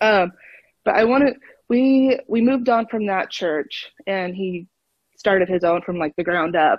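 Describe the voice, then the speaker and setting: A woman with an American accent speaks at a fairly slow pace, her medium pitch showing ordinary variation. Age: 20s. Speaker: caller sharing life story. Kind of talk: casual interview. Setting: phone call.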